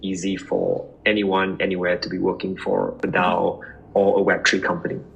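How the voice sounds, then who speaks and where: A man keeps a moderate pace while music sounds behind him. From Singapore. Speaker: startup founder. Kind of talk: podcast interview.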